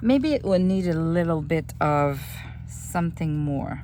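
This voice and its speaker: With lively intonation and a fairly slow pace, the voice comes through noticeable background noise and audible room echo. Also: woman. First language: French. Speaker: junk journal crafter. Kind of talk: craft tutorial.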